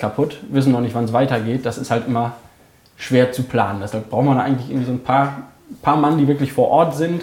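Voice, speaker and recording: A man has a normal speaking voice, fairly high in pitch, with fairly even intonation. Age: 20s. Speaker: hunter and holiday resort operator. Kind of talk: casual interview.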